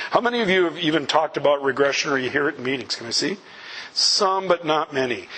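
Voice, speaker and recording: Against noticeable background noise, a man with a fairly high voice talks very fast, using ordinary pitch variation. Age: 60s. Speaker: recovery speaker. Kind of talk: talk to audience. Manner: animated.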